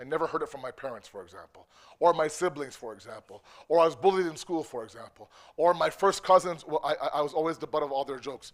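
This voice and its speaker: A man's fairly high, animated voice with a Canadian accent, ordinary pitch variation and a fairly quick pace. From Canada (Toronto), Pakistani immigrant family. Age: 40s. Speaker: religious speaker. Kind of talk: lecture. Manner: conversational, animated.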